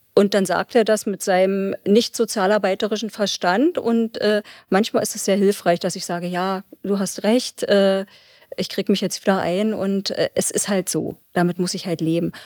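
A woman with an unremarkable speaking voice talks at a moderate pace and a medium pitch. The sound is dry and close with no echo, and the recording is very clean over a silent background. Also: fairly even intonation. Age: 50s. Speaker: probation officer. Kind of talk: interview.

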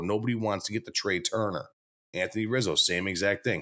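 A man with a plain, everyday voice at medium pitch, fairly even intonation and a fairly quick pace, on a very clean recording with a silent background. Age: 30s. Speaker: sports podcast host. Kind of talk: casual chat.

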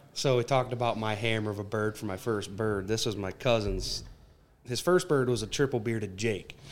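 In a normal speaking voice, a man with an American accent talks at a fairly quick pace with ordinary pitch variation. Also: medium pitch for a man. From southern Michigan. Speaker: turkey hunter. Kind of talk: casual chat.

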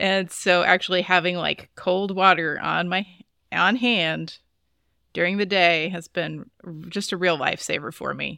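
Bright and sharp in tone with vocal fry, the voice moves at a fairly slow pace with fairly even intonation. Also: woman, fairly low pitch for a woman. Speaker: podcast co-host.

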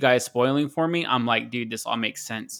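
A bright, sharp tone at a fairly quick pace, ordinary pitch variation, on a very clean recording with a silent background. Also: man. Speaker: podcast panelist. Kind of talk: casual chat.

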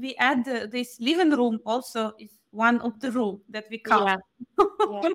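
A woman's high voice with a Ukrainian accent, lively intonation and a fairly slow pace. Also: big swings in loudness. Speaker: podcast co-host. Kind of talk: interview.

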